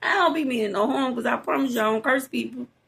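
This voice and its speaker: This woman has a Southern US accent. Her tone is animated. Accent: country Southern. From Louisiana. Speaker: podcast host, psychic. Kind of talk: casual monologue. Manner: expressive, animated.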